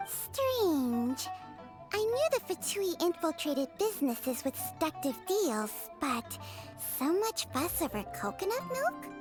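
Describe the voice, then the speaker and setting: With clear music in the background, a woman performs a put-on character voice at a fairly slow pace. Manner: slithering, seductive.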